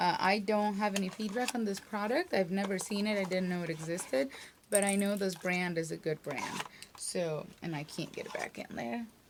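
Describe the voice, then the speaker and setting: Noticeable background noise behind a woman's medium pitch, ordinary pitch variation and moderate pace. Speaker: beauty and lifestyle vlogger. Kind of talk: casual unboxing video. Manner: animated.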